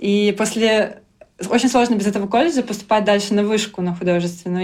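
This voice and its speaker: A woman talks at a very fast pace with fairly even intonation. Her pitch is medium, and the room echo is audible. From Belarus, Grodno. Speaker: frontend developer. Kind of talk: interview. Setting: at a conference.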